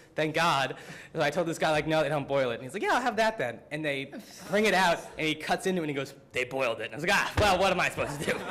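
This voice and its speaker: A man's very fast, animated talk with an American accent, high pitch and lively intonation over noticeable background noise. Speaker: student. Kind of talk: student presentation. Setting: symposium audience. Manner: casual, filler-heavy (frequent 'like', 'um').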